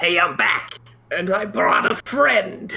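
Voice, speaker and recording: A man puts on a character voice that is raspy and high-pitched. He delivers it at a fairly slow pace. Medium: actual play. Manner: gruff, impatient.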